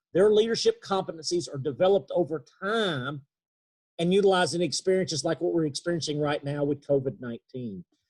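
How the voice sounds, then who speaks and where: In an East Texas accent, a man speaks at a fairly quick pace with fairly high pitch and ordinary pitch variation, the sound dry and close with no echo. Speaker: leadership trainer. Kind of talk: webinar talk. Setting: video call. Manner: halting.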